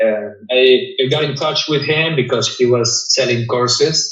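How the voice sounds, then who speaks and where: With audible room echo, a man with a non-native accent speaks at a fairly slow pace and ordinary pitch variation. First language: not English. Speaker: cleaning business owner. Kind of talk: interview. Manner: halting, frequent repetitions.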